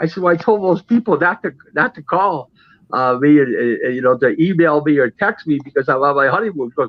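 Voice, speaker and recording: Speaking at a fairly quick pace, a man with a high pitch swings very widely up and down. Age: 60s. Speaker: boxing insider. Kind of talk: casual chat.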